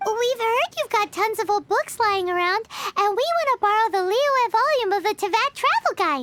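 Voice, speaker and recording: Squeaky and pitched extremely high, the voice is a put-on character. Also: moderate pace. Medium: video game.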